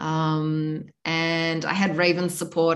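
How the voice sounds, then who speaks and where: A woman speaks at a very deep, low pitch with fairly even intonation. The room echo is audible. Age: 40s. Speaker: tantra teacher. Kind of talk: interview.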